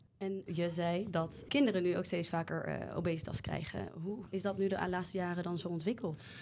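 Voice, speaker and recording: A woman speaks in a plain, everyday voice, fairly low in pitch and fairly even in intonation, at a moderate pace with hardly any pauses. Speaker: medical student podcast host. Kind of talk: interview.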